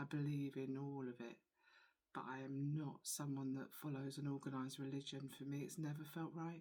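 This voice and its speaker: Moderate pace and a dark, mellow tone from a woman. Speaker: spiritual channeller. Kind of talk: personal testimony vlog. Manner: soft-spoken, quiet; halting.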